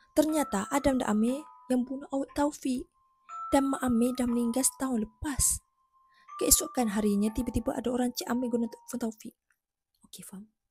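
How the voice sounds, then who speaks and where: A high-pitched woman at a fairly quick pace, with ordinary pitch variation, big swings in loudness and long, frequent pauses, over music in the background. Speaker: YouTuber. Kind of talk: reaction video narration. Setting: home, early morning.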